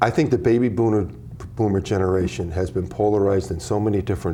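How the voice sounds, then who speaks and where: Over noticeable background noise, a man with a very deep, low pitch talks at a fairly quick pace, his pitch swinging very widely. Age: 60s. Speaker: author. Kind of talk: interview. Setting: TV studio. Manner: halting.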